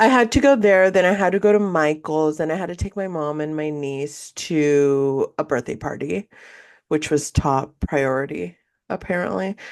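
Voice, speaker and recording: A woman's very deep, low voice in a Spanish accent, animated in tone, at a moderate pace against a quiet background. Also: lively intonation. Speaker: podcast co-host. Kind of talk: casual chat.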